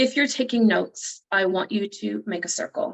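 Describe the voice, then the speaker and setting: A woman speaks at a medium pitch with vocal fry. Her intonation is lively. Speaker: motivational speaker and coach. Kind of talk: workshop talk. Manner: fast.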